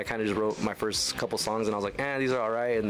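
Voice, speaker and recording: A man with a medium-pitched voice talks at a very fast pace over clear background music. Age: 20s. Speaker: country singer-songwriter, radio guest. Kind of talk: casual, friendly. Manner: very fast talker; energetic, talks a lot without pausing. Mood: relaxed, friendly. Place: studio. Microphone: studio mic.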